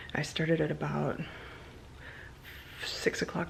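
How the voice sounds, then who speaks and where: A woman speaks quietly at a fairly slow pace. Her pitch is very deep and low. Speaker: vlogger and candle maker. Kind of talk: casual vlog chat. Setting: home at night.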